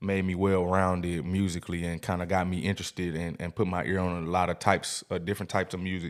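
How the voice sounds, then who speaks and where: A man with an American accent talks at a very fast pace in a very deep, low voice with monotone, flat intonation on a very clean recording with a silent background. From US South, Jackson, Mississippi. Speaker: musician. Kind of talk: casual podcast interview.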